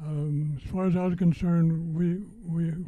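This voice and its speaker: A somewhat breathy man's voice with an American accent, a dark, mellow tone and monotone, flat intonation. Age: 90s. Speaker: war veteran. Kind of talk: personal testimony speech. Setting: veterans center event with audience. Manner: halting, many fillers and repetitions.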